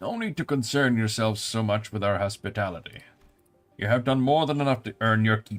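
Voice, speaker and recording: A put-on character voice from a man, rumbling, medium in pitch with ordinary pitch variation, at a fairly quick pace. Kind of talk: formal, courteous.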